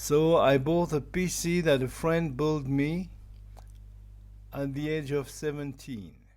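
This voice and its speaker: A man with a French accent speaks at a very slow pace in a fairly high pitch, his intonation fairly even and broken by long, frequent pauses. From France. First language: German. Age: 50s. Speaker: digital artist. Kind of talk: personal monologue.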